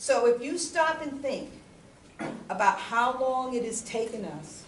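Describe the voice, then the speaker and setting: A woman talks at a fairly slow pace. Noticeable background noise and audible room echo fill the recording. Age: 60s. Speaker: lawyer and community speaker. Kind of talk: public talk and Q&A. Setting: church hall with audience.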